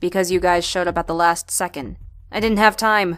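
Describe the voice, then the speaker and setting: A woman's put-on character voice, medium in pitch, fairly quick, with fairly even intonation. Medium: audio drama. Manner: impatient, urgent.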